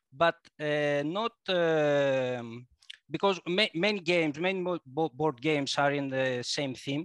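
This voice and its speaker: With a Greek accent, a man speaks at a fairly high pitch, the sound dry and close with no echo. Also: ordinary pitch variation, fairly slow pace. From Greece. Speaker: board game designer. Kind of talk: casual interview. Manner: halting, searching for words.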